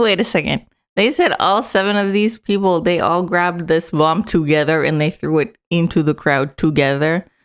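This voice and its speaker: A woman with a plain, everyday voice talks at a moderate pace and fairly low pitch, with ordinary pitch variation, very even loudness and hardly any pauses, on a very clean recording with a silent background. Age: 20s. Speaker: political news commentator streamer. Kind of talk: casual live-stream reaction commentary.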